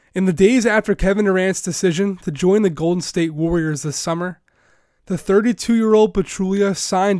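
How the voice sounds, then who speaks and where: High-pitched with ordinary pitch variation, this is a man speaking. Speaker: sports journalist and podcast host. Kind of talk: scripted narration. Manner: formal.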